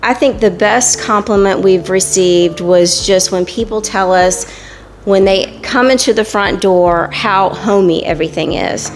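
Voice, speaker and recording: A woman's medium-pitched voice with ordinary pitch variation, fairly slow, over noticeable background noise. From Fayetteville, North Carolina, US South. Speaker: tap house owner. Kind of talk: interview. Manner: halting.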